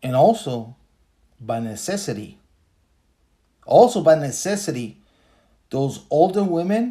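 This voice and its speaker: Speaking in a Spanish accent, a man with a high pitch and a dark, mellow tone moves at a fairly slow pace through very wide pitch swings and long, frequent pauses. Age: 40s. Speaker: podcaster. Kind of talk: casual commentary monologue. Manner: casual, hesitant with fillers.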